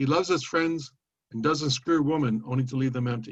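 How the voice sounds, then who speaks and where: Speaking at a moderate pace, a man sounds somewhat breathy, with a medium pitch and ordinary pitch variation. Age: 70s. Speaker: poet. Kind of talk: poetry reading.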